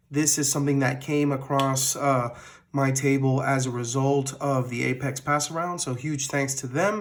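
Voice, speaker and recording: Audible room echo around a fairly high-pitched male voice. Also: moderate pace. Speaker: knife reviewer YouTuber. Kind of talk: product review. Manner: casual with many fillers.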